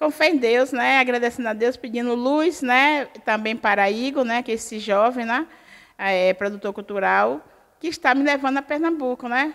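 With a very clean recording and a silent background, a woman talks at a moderate pace in a high pitch with ordinary pitch variation. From Bahia, Brazil (rural Feira de Santana). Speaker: artisan and teacher. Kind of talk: interview. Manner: halting, with repetitions.

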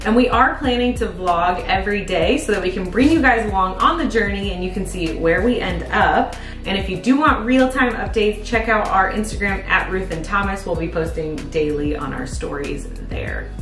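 Speaking at a moderate pace with hardly any pauses, the voice carries audible room echo while clear music plays in the background. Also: woman. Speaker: vlogger. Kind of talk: casual vlog chat. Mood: excited and touched. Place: home room. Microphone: camera far.

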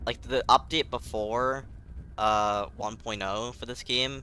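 A man's medium-pitched voice, dry and close with no echo, over music in the background. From UK. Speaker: gaming streamer. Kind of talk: live gameplay commentary. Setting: live stream. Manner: animated.

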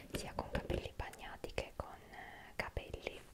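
A soft-spoken woman whispering at a moderate pace amid loud background noise. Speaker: ASMR creator. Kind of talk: soft ASMR product talk. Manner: soft close ASMR whisper. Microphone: studio mic.

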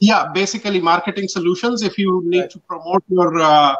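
A man with a Pakistani accent speaks in a high voice with a bright, sharp tone. His pitch varies in an ordinary way, and the background is quiet. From northwest Pakistan. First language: Pashto. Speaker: printing and promotional business owner. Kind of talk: casual interview. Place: home room.

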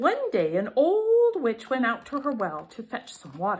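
A woman's high voice swings very widely in pitch while she keeps a moderate speed. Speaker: storybook reader. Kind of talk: children's story reading. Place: home room. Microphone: phone near.

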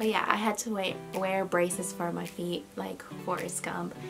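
A woman talks while clear music sounds behind her. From Peru. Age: 20s. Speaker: lifestyle YouTuber. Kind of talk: casual talk to camera. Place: home room. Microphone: camera far.

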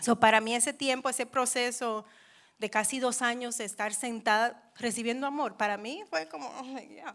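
At a moderate pace, a woman with an English accent speaks in a fairly high voice with ordinary pitch variation against a quiet background. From New York, Dominican family. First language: English (speaking Spanish). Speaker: churchgoer giving testimony; speaker. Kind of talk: testimony. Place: church. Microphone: handheld.

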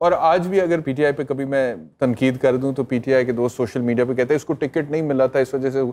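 His tone is dark and mellow. The man talks at a fairly quick pace with fairly even intonation. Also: hardly any pauses. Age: 40s. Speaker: lawyer and TV anchor; lawyer, TV anchor. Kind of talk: talk show interview. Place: studio. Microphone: lapel.

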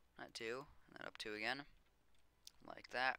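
The speaker has an American accent and talks at a fairly slow pace. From United States. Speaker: gaming YouTuber. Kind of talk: tutorial; casual chat.

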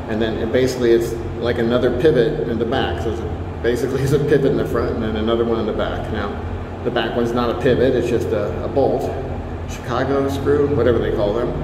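At a very fast pace and with fairly even intonation, the voice comes through noticeable background noise and audible room echo. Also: man. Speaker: knife reviewer. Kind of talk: casual product review. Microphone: phone near.

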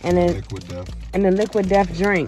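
Woman at a moderate pace, dry sound with no echo, faint background music. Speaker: vlogger filming a snack challenge. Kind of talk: casual vlog chat. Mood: playful, laughing. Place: car. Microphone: phone near.

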